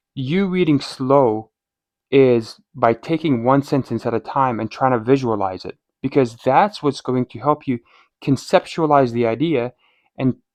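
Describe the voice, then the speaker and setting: Against a quiet background, a man with a non-native accent speaks at a fairly slow pace, with ordinary pitch variation and long, frequent pauses. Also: dry, close sound with no echo. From outside North America. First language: not English. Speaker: medical student and test prep coach. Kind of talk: tutorial. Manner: animated.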